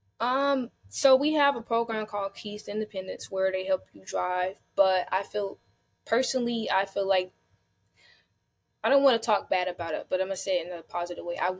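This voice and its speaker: Recorded very cleanly over a silent background, a woman with an American accent talks fairly quickly in an unremarkable speaking voice at medium pitch. Her pitch variation is ordinary, while her loudness swings widely. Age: 20s. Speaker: foster care advocate. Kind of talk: interview answer.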